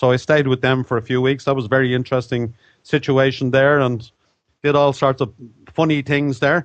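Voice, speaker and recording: A fairly quick delivery in an Irish accent, with monotone, flat intonation and very even loudness. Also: man, medium pitch for a man. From Ireland. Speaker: author. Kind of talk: interview.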